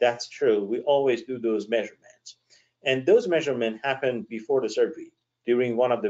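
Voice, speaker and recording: The pace is fairly quick as a man speaks at a medium pitch. His pitch variation is ordinary. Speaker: eye surgeon. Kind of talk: webinar presentation. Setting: online webinar. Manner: fast.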